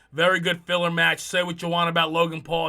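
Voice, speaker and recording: A man speaks in a New Jersey accent. His pitch is high. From US Northeast, New Jersey. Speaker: wrestling podcast host. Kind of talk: casual commentary monologue. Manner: fast; animated, many fillers.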